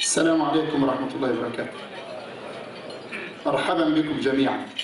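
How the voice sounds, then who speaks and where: A man talks at a moderate pace with long, frequent pauses, audible room echo and noticeable background noise. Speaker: imam. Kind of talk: welcome greeting to banquet audience. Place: hall. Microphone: podium.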